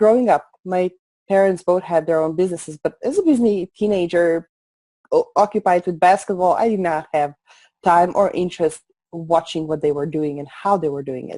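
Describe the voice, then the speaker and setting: Her dark, mellow voice sits fairly low for a woman, with ordinary pitch variation at a moderate pace. The sound is dry and close, with no echo. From Slovenia. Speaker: entrepreneur. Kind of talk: interview. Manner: soft-spoken.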